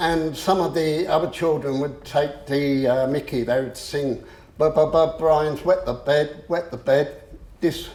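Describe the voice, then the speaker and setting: With an English accent, a man speaks at a fairly slow pace and fairly high pitch, his intonation fairly even. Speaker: motivational speaker. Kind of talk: public talk. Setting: room with audience. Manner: halting.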